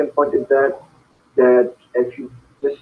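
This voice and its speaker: The speaker is a man with a Pakistani accent. He talks at a moderate pace. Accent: Pakistani accent resembling Indian. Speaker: student. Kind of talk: interview. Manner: halting.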